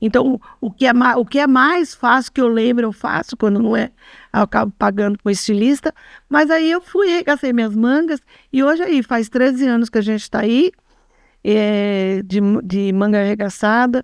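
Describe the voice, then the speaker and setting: A woman speaks at a moderate pace with lively intonation and a fairly high pitch, in a dry, close sound with no echo. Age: 60s. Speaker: clothing workshop owner. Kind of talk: testimony. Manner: halting.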